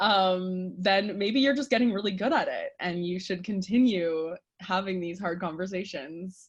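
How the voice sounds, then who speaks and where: With a Canadian accent, a woman talks at a moderate pace with hardly any pauses, her medium-pitched voice somewhat breathy and showing ordinary pitch variation. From Canada. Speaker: sex researcher and therapist. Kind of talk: podcast interview. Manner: direct.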